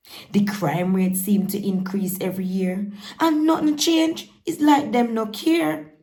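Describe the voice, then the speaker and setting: A woman talks with very wide pitch swings in a Jamaican accent. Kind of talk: poetry reading.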